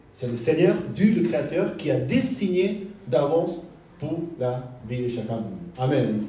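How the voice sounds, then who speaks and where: Very wide pitch swings from a man, with audible room echo and noticeable background noise. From South Korea. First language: Korean (speaking French). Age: 40s. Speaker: pastor. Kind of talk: sermon. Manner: halting.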